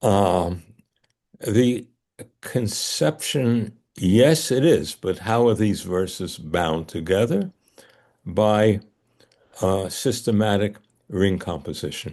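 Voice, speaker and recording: Using a Bronx accent, a man talks at a very slow pace with long, frequent pauses. His fairly low voice has a dark, mellow tone and ordinary pitch variation. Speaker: scholar teaching ancient texts. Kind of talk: lecture in a study group. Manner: hesitant, many fillers.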